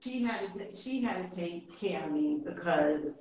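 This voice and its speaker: A woman with an American accent, lively intonation and a fairly slow pace, with audible room echo. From New York. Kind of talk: interview.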